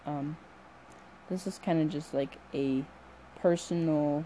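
This woman's voice has a dark, mellow tone and a very deep, low pitch. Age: young. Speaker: solo podcaster. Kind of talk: personal reflective monologue. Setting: late at night at home.

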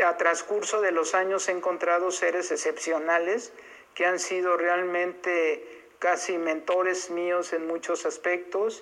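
A woman with fairly low pitch speaks in a monotone, flat intonation at a fairly slow pace, her loudness very even. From Mexico, Irapuato, Guanajuato. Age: 60s. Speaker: foundation director. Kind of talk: testimony.

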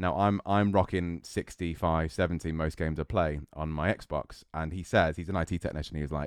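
In an English accent, a man with a very deep, low pitch talks at a fairly quick pace with fairly even intonation. The sound is dry and close, with no echo. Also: hardly any pauses. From English Midlands, Solihull. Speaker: competitive gamer and streamer. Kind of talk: casual chat.

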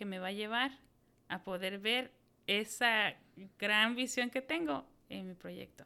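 With a central Mexican accent, a woman speaks at a fairly slow pace in a bright, sharp tone. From Mexico, Hidalgo (Tulancingo). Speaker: entrepreneur. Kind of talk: interview.

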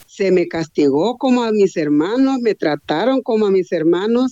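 Woman's voice with a dark, mellow tone, lively intonation and a dry, close sound with no echo. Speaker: blind massage therapist. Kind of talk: testimony.

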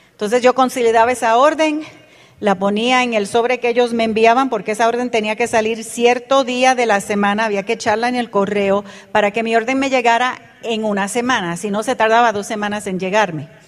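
Against noticeable background noise, a woman talks at a fairly quick pace with a fairly high pitch and fairly even intonation. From Panama Canal Zone, Puerto Rican parents. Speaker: network marketing business leader. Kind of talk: motivational talk to audience.

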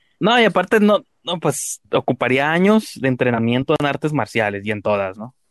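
A man speaks with a Mexican accent, his pitch swinging very widely. He barely pauses, against a quiet background. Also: fairly high pitch for a man, moderate pace, dry, close sound with no echo. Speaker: podcast host. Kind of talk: casual chat.

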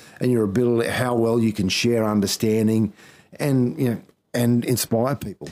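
Here a man with an Australian accent speaks at a medium pitch and moderate pace. His tone is dark and mellow, with fairly even intonation. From Queensland, Australia (Townsville). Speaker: former rugby league coach and analyst. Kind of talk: casual interview. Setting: his office.

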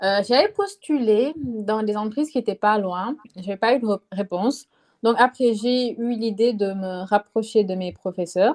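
An unremarkable speaking voice from a woman, fairly high in pitch with ordinary pitch variation, at a fairly slow pace, in a dry, close sound with no echo. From Senegal. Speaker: student. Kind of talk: casual chat.

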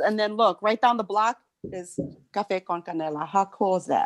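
The speaker is a woman at a moderate pace. The sound is dry and close, with no echo. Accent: American. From South Side Chicago. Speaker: podcast host. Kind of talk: casual chat. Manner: halting.

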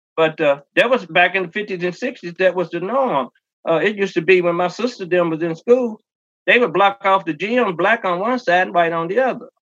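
A man with a Kentucky accent talks at a fairly quick pace with a high pitch and ordinary pitch variation. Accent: Kentucky Southern US. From rural Kentucky, Henry County. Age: 60s. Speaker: singer and stage performer. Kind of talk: interview.

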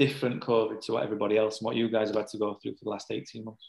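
A man speaks with an English accent. His voice sits at a medium pitch. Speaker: football coach. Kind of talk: casual interview chat.

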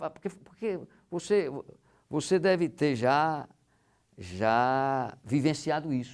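Long, frequent pauses fill this man's very slow delivery. His pitch is fairly high and his intonation lively. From Rio Grande do Norte, Brazil (São Miguel). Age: 50s. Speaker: business executive. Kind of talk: casual interview. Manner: halting, many repetitions.

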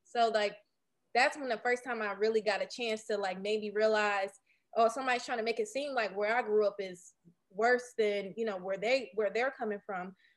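A normal speaking voice with fairly even intonation, in a very clean recording against a silent background. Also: woman, fairly high pitch for a woman, moderate pace. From Detroit, east side. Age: 30s. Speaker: tech startup founder. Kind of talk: interview.

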